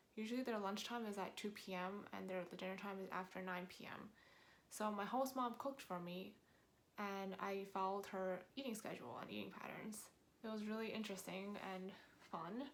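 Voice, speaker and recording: A woman with an American accent talks at a fairly quick pace and medium pitch, her intonation fairly even, with audible room echo. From New York, US. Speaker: vlogger. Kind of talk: casual talk to camera. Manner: conversational with fillers.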